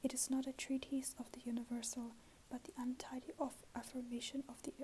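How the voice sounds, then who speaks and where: The voice is soft-spoken, with a dark, mellow tone. Delivery is monotone and flat at a moderate pace. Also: woman. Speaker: ASMR creator. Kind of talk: ASMR book reading.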